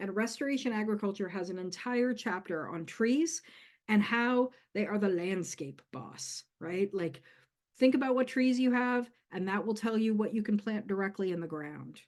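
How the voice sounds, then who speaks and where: In a normal speaking voice, a woman talks at a moderate pace with a fairly high pitch and lively intonation against a quiet background. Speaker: community herbalist giving a workshop. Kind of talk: workshop lecture.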